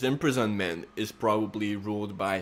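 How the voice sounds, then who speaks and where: A man is speaking. He has a non-native accent. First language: not English. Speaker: astrology youtuber. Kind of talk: casual monologue. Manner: hesitant, many fillers.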